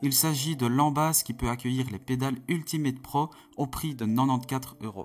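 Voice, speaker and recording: A medium-pitched man at a fairly quick pace with fairly even intonation. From Belgium. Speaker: sim racing youtuber. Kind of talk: product review.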